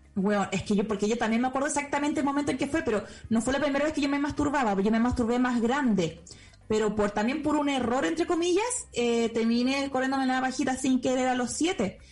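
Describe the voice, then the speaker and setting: A woman's high-pitched voice at a very fast pace, with ordinary pitch variation and very even loudness, amid noticeable background noise and audible room echo. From Chile. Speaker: podcast host. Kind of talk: casual chat; lecture.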